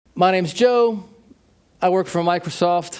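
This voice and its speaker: Ordinary pitch variation marks this voice with an American accent. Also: man. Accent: very American. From United States. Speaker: tech company manager, keynote speaker. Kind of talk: keynote talk.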